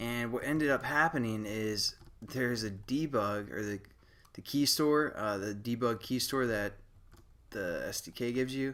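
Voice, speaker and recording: Mumbling at a moderate pace, a man speaks at a medium pitch with ordinary pitch variation. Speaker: programming tutorial maker. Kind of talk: tutorial. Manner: casual, many fillers.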